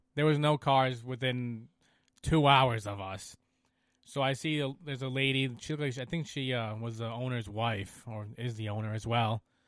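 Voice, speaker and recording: Speaking with a Rhode Island accent, a man talks at a moderate pace, his medium pitch held in fairly even intonation. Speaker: snowmobile rider. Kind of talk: casual chat.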